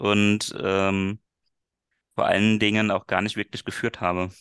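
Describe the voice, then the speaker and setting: Fairly low in pitch, a man talks at a moderate pace in an ordinary speaking voice. The sound is dry and close, with no echo. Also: quiet background. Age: 30s. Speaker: business coach and former sales manager. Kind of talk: interview.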